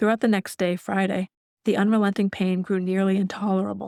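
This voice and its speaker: Very fast, monotone, flat delivery on a very clean recording with a silent background and a dry, close sound with no echo. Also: woman. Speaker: author and audiobook narrator. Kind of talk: audiobook memoir narration.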